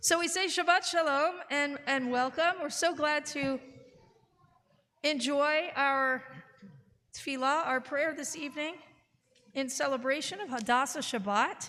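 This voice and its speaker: Using a raised, projected voice, a woman with a high pitch speaks at a fairly slow pace. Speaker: clergy leading services. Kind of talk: worship service welcome. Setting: synagogue sanctuary, live broadcast.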